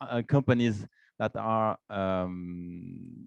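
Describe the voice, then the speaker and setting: Recorded dry and close with no echo over a quiet background, a man speaks with a Swiss French accent and ordinary pitch variation. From Romandie, French-speaking western Switzerland. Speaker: association vice president and business developer. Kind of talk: event welcome speech with slides. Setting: office event room with live audience, streamed on Zoom. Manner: halting, many fillers and repetitions.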